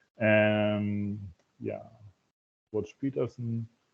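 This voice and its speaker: A man with a German accent speaks in a fairly low pitch. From Germany. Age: 50s. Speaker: festival participant, engineer. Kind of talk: casual group video call introduction. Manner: halting. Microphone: echo.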